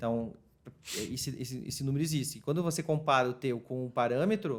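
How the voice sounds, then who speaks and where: At a fairly quick pace, a man with a medium-pitched voice speaks with ordinary pitch variation. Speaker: retail marketing specialist. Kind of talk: casual interview chat. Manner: fast.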